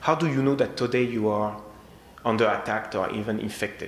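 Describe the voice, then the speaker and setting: A man with a strong French accent talks over noticeable background noise, with audible room echo. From France. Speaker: security technology sales engineer. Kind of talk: conference presentation. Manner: halting.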